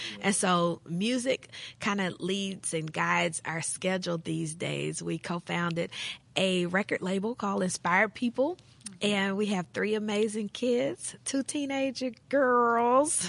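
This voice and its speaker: Speaking fairly slowly with an American accent, a woman has a plain, everyday voice with a medium pitch and ordinary pitch variation. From US South, western Tennessee. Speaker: pastor and women's ministry director. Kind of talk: casual chat.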